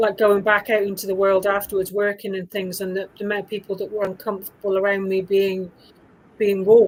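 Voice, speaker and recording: This voice has a British accent and a fairly quick pace. The intonation is monotone and flat. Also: woman, medium pitch for a woman. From UK. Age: 50s. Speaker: women's coach. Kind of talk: casual chat.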